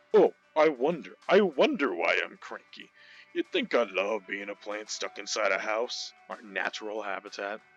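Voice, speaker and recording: Over faint music in the background, a man does a gruff put-on character voice at medium pitch and a moderate pace. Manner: cranky, sarcastic.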